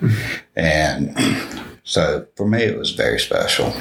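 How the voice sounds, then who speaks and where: A man talks at a fairly slow pace with a Southern US accent. Noticeable background noise sits behind him. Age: 40s. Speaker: former resident and staff member of a children's home. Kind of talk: personal testimony interview.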